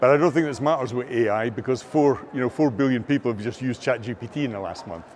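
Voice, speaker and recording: Talking at a very fast pace with hardly any pauses, a man speaks with a Scottish accent. His pitch is medium with ordinary variation, and noticeable background noise is present. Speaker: AI and learning technology expert. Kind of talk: interview. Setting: filmed at a conference.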